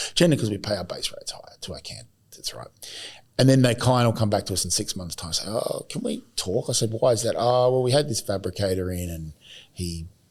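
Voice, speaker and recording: A man talks at a very fast pace and a medium pitch. His voice is somewhat breathy. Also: lively intonation. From Australia, Adelaide. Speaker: podcast host and recruiter. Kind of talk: casual chat. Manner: animated.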